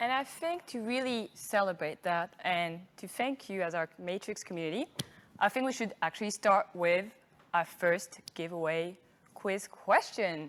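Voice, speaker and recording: A woman with a French accent speaks at a medium pitch and a fairly slow pace. Her pitch varies in an ordinary way. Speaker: marketing manager hosting an awards event. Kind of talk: live event hosting.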